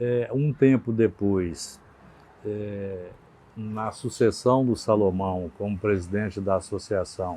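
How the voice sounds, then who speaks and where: Speech comes at a very slow pace. The tone is dark and mellow, and the pitch varies in an ordinary way. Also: man. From Brazil, Minas Gerais (western interior). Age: 60s. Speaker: retired trade association president, baker. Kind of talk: interview. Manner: hesitant, many fillers.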